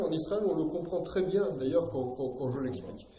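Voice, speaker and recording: A man's high-pitched voice with ordinary pitch variation, audible room echo, and noticeable background noise. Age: 60s. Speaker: political commentator, lecturer. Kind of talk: public lecture. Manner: hesitant, many fillers.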